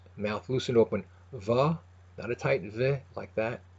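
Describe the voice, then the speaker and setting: Against a quiet background, a man with a medium-pitched, somewhat breathy voice talks at a moderate pace. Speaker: language teacher. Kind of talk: pronunciation tutorial. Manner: hesitant, casual.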